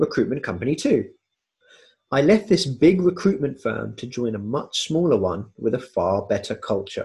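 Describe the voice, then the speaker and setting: Very wide pitch swings and vocal fry at a moderate pace, with a dark, mellow tone and a southern English accent. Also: man, fairly high pitch for a man. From southwest London area, England. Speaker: podcast host. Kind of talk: scripted narration.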